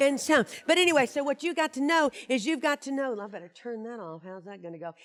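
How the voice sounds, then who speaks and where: The speaker moves at a fairly quick pace. Their pitch swings very widely. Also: woman, dry, close sound with no echo. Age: 60s. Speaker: motivational speaker. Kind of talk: keynote speech. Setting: stage with audience.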